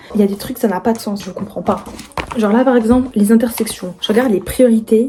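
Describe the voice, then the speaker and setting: Noticeable background noise runs under a woman speaking at a fairly quick pace with a fairly high pitch. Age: 20s. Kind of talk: casual talk to camera.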